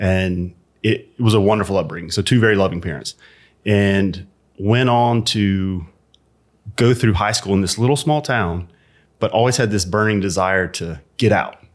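With an American accent, a man of fairly low pitch talks at a moderate pace with ordinary pitch variation and long, frequent pauses. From Alabama, US South. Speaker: CEO and entrepreneur. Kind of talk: interview, telling his life story.

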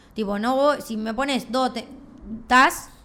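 A woman speaks with a Rioplatense accent. Her pitch is fairly high and her pace fairly slow. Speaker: podcast co-host. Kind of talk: casual chat.

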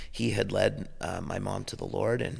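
The voice carries vocal fry and ordinary pitch variation on a very clean recording with a silent background. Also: man. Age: 50s. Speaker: pastor. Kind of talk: casual chat. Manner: halting.

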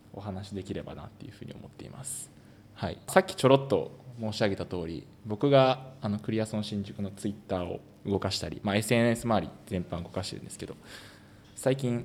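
Loudness swings widely as a man with an unremarkable speaking voice talks fairly quickly at a fairly low pitch with ordinary pitch variation. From Osaka, Japan. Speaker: amateur footballer and podcast host. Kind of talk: casual podcast chat.

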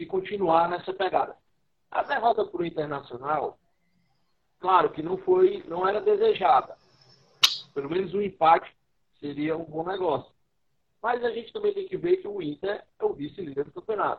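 Long pauses come often as this man speaks at a moderate pace. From Brazil, Ceará (Fortaleza). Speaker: writer, musician and radio host. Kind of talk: casual interview. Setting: live stream on social media.

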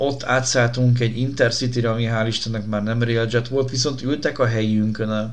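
Amid audible room echo, a man at medium pitch speaks in a monotone, flat intonation at a moderate pace with hardly any pauses. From Budapest, Hungary. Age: 30s. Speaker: podcast host, former radio presenter. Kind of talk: casual chat.

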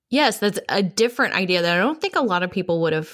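Lively intonation marks a woman's plain, everyday voice, pitched at a medium level. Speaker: podcast co-host. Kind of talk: casual chat.

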